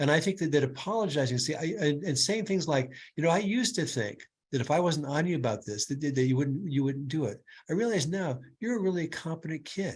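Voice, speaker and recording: Over a quiet background, a man talks at a very fast pace. His pitch is fairly high. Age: 70s. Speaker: clinical neuropsychologist. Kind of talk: webinar Q&A answer. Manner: halting, many repetitions.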